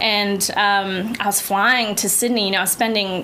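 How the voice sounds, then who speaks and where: A woman with a medium pitch speaks at a fairly slow pace. Audible room echo and noticeable background noise surround her voice. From Guam. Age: 20s. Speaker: musical theater actor. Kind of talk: casual interview chat. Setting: studio.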